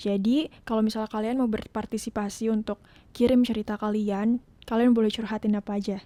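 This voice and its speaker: A soft-spoken woman talks at a fairly quick pace with a fairly high pitch, a dark, mellow tone and monotone, flat intonation. Her voice sounds dry and close with no echo. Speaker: podcast host. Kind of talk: casual monologue. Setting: home podcast setup with laptop. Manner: code-switching Indonesian and English.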